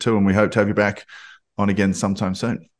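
A fairly low-pitched man with an Australian accent, against a quiet background. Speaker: podcast host. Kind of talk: casual interview.

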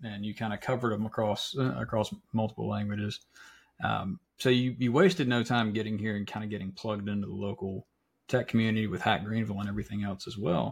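In an American accent, this somewhat breathy voice moves at a very fast pace with ordinary pitch variation on a very clean recording with a silent background. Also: man, fairly low pitch for a man. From South Carolina (Florence). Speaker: podcast host. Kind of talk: casual chat.

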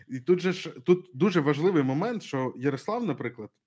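An unremarkable speaking voice from a man, with lively intonation at a moderate pace, in a dry, close sound with no echo. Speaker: podcast host. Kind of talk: casual chat. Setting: livestream.

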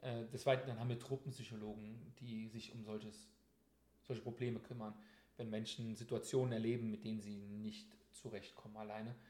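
Somewhat breathy and dark, mellow in tone, a man's medium-pitched voice moves at a fairly quick pace with fairly even intonation and long, frequent pauses. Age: 30s. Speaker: soldier. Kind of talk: interview. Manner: hesitant, many filler sounds.

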